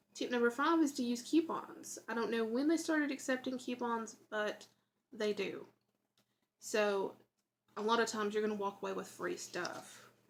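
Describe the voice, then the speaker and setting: Speaking in a Southern US accent, a woman uses a fairly high pitch with ordinary variation at a moderate pace. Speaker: YouTuber. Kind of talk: tutorial. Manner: casual, chatty.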